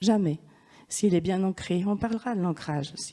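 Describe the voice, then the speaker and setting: Speaking at a moderate pace, a woman uses lively intonation in a dark, mellow tone. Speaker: shamanism and Reiki speaker. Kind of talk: lecture. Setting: conference hall with audience.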